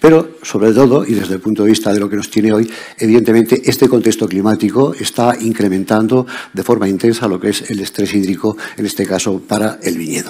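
A man speaks in a plain, everyday voice. His pitch is fairly low, with ordinary variation. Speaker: conference speaker. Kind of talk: lecture.

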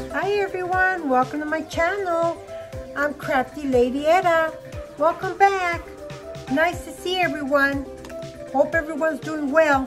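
Fairly slow speech with fairly even intonation and long, frequent pauses, clear music playing in the background. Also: woman, extremely high pitch for a woman. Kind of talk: casual craft tutorial chat. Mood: friendly, relaxed. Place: home room. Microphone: phone near.

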